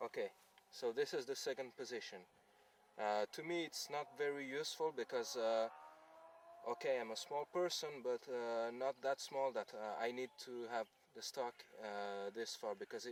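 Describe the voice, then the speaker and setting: Quiet and at medium pitch, a man with a non-native accent talks with ordinary pitch variation and long, frequent pauses. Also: dry sound with no echo. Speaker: airsoft gun reviewer. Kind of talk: product review talk to camera. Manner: quiet, hesitant with fillers. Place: open country.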